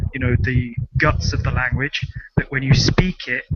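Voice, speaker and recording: With an English accent and a fairly high pitch, a man talks with ordinary pitch variation over noticeable background noise. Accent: particular English. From London, England. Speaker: conversation host. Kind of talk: casual chat. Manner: fast.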